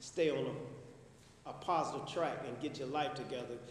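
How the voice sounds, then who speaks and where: Over noticeable background noise and audible room echo, a man with an American accent talks at a fairly quick pace in a fairly high pitch. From Chicago, far south side. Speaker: formerly incarcerated speaker. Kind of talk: testimony. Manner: loud.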